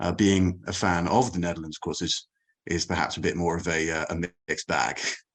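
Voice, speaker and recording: A man with an English accent, very deep and low in pitch, at a fairly quick pace with ordinary pitch variation, in a quiet background. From England. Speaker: cricket journalist. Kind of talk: podcast interview. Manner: hesitant, many fillers.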